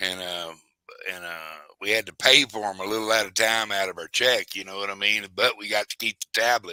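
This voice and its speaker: A man speaks at a fairly quick pace and fairly low pitch, his bright, sharp tone swinging widely in loudness with fairly even intonation, in a dry, close sound with no echo. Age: 60s. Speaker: former car salesman. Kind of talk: casual chat.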